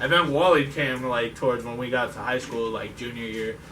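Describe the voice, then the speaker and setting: A man speaks with an American accent. Audible room echo and noticeable background noise surround his voice. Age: 20s. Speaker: car enthusiast group member. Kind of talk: casual self-introduction.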